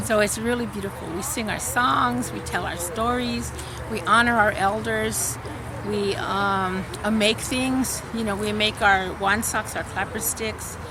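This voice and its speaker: A woman with an American accent at a fairly slow pace, medium in pitch with very wide pitch swings, over noticeable background noise. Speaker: professor. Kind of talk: interview answer. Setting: outdoors.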